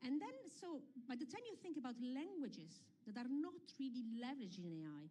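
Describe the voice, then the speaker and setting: A woman talks at a fairly quick pace in a high pitch with very wide pitch swings and a dark, mellow tone. Audible room echo surrounds her voice. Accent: Italian. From Italy. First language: Italian. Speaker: UNESCO representative, panelist. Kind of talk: panel discussion.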